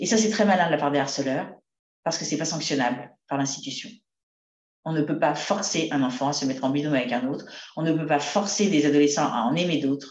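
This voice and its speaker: With audible room echo, a woman with a very deep, low pitch speaks at a very fast pace and with ordinary pitch variation. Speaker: psychotherapist speaking on school bullying. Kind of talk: talk to parents.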